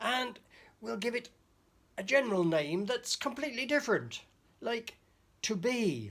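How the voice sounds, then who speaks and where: A put-on character voice, fairly high in pitch, at a moderate pace with long, frequent pauses. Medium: read story. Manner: scheming, gleeful.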